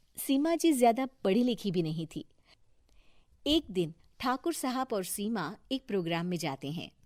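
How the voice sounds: A woman speaks at a medium pitch and a moderate pace, her tone slightly mellow. Her pitch swings widely, and the recording is very clean with a silent background.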